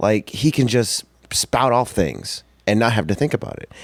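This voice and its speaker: A man with lively intonation. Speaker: professional wrestler. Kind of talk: casual chat. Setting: podcast interview. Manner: soft-spoken.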